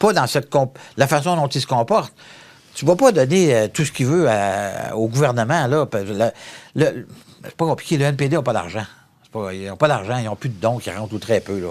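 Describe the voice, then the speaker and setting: A man at medium pitch, fairly quick in pace, with lively intonation and big swings in loudness. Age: 60s. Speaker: federal member of parliament. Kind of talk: interview. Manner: animated.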